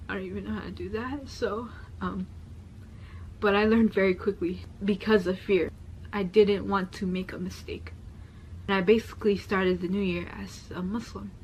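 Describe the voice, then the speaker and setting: A soft-spoken woman moves at a moderate pace with long, frequent pauses and big swings in loudness. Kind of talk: testimony. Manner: soft-spoken, quieter.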